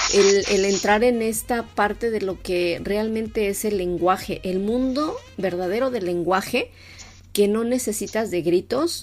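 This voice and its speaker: This woman's voice is medium in pitch and varies in an ordinary way. She talks fairly slowly. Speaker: radio show co-host. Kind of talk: conversational radio discussion.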